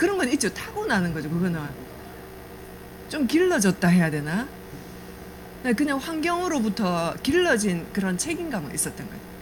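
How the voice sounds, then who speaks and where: A woman's fairly high voice with very wide pitch swings and a slight Gyeongsang accent, at a moderate pace with long, frequent pauses, plus audible room echo and noticeable background noise. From South Korea, Namhae (Gyeongsang). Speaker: network marketing business speaker. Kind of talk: business presentation with life story. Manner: conversational, hesitant fillers.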